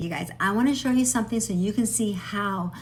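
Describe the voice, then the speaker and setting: Somewhat breathy, a woman speaks with audible room echo. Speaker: AI tutorial creator. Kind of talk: casual vlog. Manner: fast.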